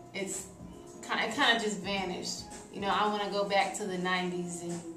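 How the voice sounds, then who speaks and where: A woman speaks at a moderate pace with fairly even intonation. Clear music plays in the background. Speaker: interviewee. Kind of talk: interview answer. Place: studio.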